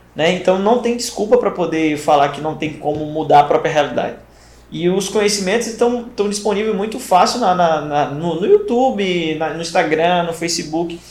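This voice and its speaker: Through noticeable background noise and audible room echo, a man speaks at a high pitch. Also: ordinary pitch variation, moderate pace. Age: 30s. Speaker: podcast host, first aid training company. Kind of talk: casual interview chat.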